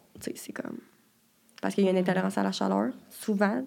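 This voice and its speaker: A woman talks at a very fast pace. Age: 20s. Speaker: university student. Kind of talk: casual interview.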